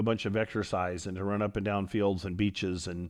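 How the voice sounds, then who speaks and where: Speaking in an American accent, a man has an unremarkable speaking voice at a fairly low pitch. He talks at a moderate pace with fairly even intonation over a quiet background. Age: 60s. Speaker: karate instructor and podcast host. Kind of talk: podcast monologue.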